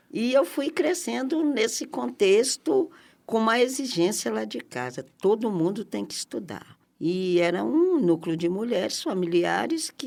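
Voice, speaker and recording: In a very clean recording with a silent background, a woman speaks at a fairly slow pace. Her fairly high voice has vocal fry and very wide pitch swings. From Brazil, Minas Gerais (Barbacena). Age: 60s. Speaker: community activist. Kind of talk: interview.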